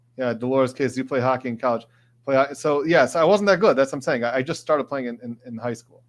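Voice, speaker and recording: With an Upper Midwest accent, a man talks at a very fast pace with ordinary pitch variation and big swings in loudness against a quiet background. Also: medium pitch for a man. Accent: Upper Midwest American. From Michigan, Detroit area. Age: 40s. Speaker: trial lawyer and legal commentator streamer. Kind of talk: live stream chat reading. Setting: live stream.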